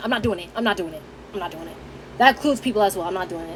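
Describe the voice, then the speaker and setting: Noticeable background noise behind a woman's voice that swings very widely in pitch. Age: 20s. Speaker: vlogger. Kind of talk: casual chat.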